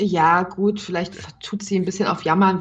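At a moderate pace, a woman speaks in a medium pitch, somewhat breathy and with monotone, flat intonation. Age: 30s. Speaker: cam performer, podcast co-host. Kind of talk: casual chat.

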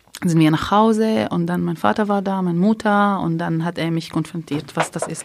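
A woman speaks at a moderate pace with an Arabic accent. Her pitch sits in the middle range, with ordinary variation. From Palestine, near Haifa. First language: Arabic (speaking German). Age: 30s. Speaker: primary school childcare worker. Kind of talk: interview testimony.

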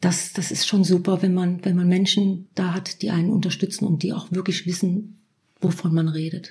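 Monotone, flat intonation at a moderate pace, with a dark, mellow, somewhat breathy tone. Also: woman, medium pitch for a woman. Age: 50s. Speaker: self-help group leader. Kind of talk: interview about personal experience.

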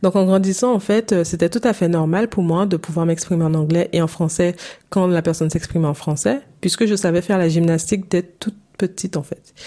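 At a fairly quick pace, a woman talks in a dark, mellow tone with fairly low pitch and ordinary pitch variation. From Saint-Martin, Caribbean. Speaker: English coach. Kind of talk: solo podcast monologue, coaching pitch.

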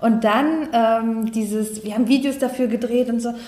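Audible room echo surrounds a woman who speaks with a fairly high pitch at a fairly slow pace, her intonation fairly even. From northeastern Germany, Neustrelitz. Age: 30s. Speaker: life coach. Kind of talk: podcast interview.

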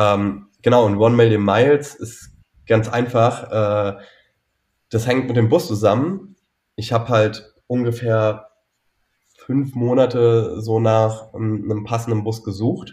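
Long, frequent pauses break up a man's very slow speech. His voice is somewhat breathy and sits at medium pitch. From Saxony-Anhalt, Altmark, village. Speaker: founder of a bus travel project. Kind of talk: interview.

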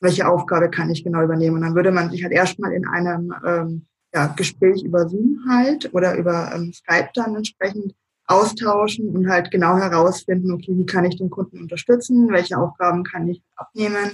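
At a moderate pace, a woman talks in a fairly low pitch. Her voice is somewhat breathy. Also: ordinary pitch variation. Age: 30s. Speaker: self-employed virtual assistant. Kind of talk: interview. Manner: hesitant, many filler sounds.

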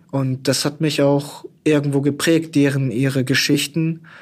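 A man speaks in an ordinary speaking voice at a fairly high pitch with fairly even intonation. The recording is very clean, with a silent background. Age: 20s. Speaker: news editor and fact-checker. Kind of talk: interview.

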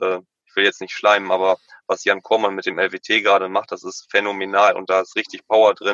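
Big swings in loudness from a man talking fairly fast. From Emsland, Lower Saxony, northwest Germany. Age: 20s. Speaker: kiosk owner. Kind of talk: interview. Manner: halting.

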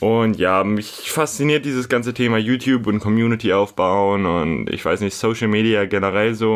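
This is a man with an ordinary speaking voice, pitched fairly low. He keeps a moderate pace and ordinary pitch variation. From Hamburg, northern Germany. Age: 20s. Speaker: podcast host, fitness blogger. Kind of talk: casual solo podcast monologue.

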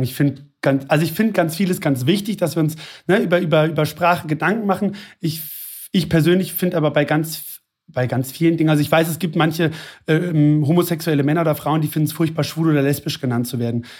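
Speaking at a very fast pace, a man has a fairly high pitch and ordinary pitch variation. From Hesse, near Frankfurt am Main. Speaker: flight attendant, actor and blogger. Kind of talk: interview conversation.

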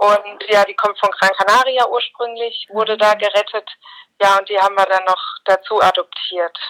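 An unremarkable speaking voice talks at a moderate pace with fairly even intonation. The sound is dry and close, with no echo. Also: woman, medium pitch for a woman. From Mainz, Germany. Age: 30s. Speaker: journalist and dog owner. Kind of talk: podcast interview.

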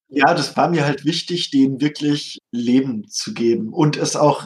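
A man talks at a very slow pace in a fairly high voice, with ordinary rise and fall in pitch. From Hesse, Germany. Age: 30s. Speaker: tabletop game designer. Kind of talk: interview.

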